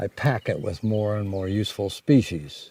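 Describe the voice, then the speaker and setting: A fairly low-pitched man with an American accent, a dark, mellow tone, fairly even intonation and a fairly quick pace. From US Midwest, Detroit. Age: 80s+. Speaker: off-grid homesteader. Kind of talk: interview.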